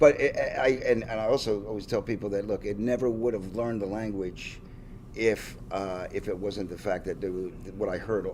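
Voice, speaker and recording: The intonation stays fairly even at a moderate pace. Noticeable background noise runs underneath. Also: man, fairly low pitch for a man. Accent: Philadelphia. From Pennsylvania, Levittown area (US). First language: Finnish. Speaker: rock drummer. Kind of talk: casual interview. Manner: halting, many fillers and restarts.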